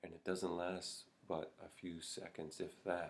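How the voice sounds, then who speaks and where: A man speaks at a very slow pace in a very deep, low voice with fairly even intonation. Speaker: Zen meditation teacher. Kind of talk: Buddhist dharma talk to camera. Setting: Zen monastery. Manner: slow, reflective. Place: home room. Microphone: webcam.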